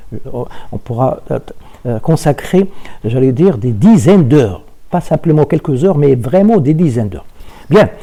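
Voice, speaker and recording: A man speaks at a fairly high pitch with a dark, mellow, somewhat breathy tone. His pitch swings very widely, broken by long, frequent pauses. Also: moderate pace. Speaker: university lecturer. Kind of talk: lecture. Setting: remote online class. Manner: halting, many repetitions and fillers.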